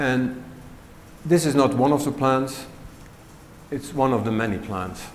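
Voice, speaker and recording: Over light background noise, a man talks at a fairly slow pace with long, frequent pauses and ordinary pitch variation. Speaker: automation engineer; conference presenter. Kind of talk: conference talk. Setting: stage with audience. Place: hall. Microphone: lapel.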